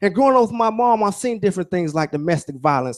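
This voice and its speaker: Here a man speaks with a Southern US accent. His intonation is lively. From Alaska, later Georgia (US South) from age ten. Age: 30s. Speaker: motivational speaker, military helicopter pilot. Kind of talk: motivational speech.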